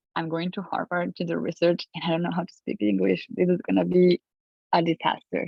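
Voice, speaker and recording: With a Colombian accent, a woman speaks at a fairly low pitch. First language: Spanish. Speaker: physician-scientist. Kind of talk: panel discussion.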